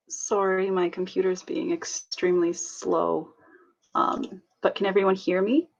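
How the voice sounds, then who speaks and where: A woman with an unremarkable speaking voice talks fairly slowly at a medium pitch, with lively intonation. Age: 20s. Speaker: student. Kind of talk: prepared personal testimony.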